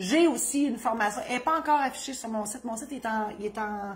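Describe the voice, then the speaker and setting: A woman's fairly high voice with ordinary pitch variation, in a Quebec accent. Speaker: notary and humorist. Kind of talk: legal advice video with self-promotion. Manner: fast; animated.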